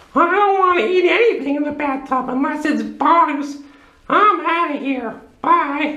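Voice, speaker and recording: This is a cartoonish character voice pitched high. It moves along at a moderate pace. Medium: puppet. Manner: grumpy, indignant.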